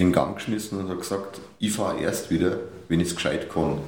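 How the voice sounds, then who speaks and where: A man speaks in a very deep, low pitch with fairly even intonation. The audio has audible room echo and noticeable background noise. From Upper Bavaria, Germany. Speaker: newspaper editor and cabaret artist. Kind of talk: casual interview. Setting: studio, sitting face to face.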